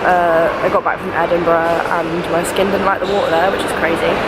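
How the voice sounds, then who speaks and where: A woman speaks at a moderate pace in a fairly low pitch, her intonation monotone and flat. Audible room echo and noticeable background noise surround her. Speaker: travel vlogger. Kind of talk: travel vlog. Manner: quiet.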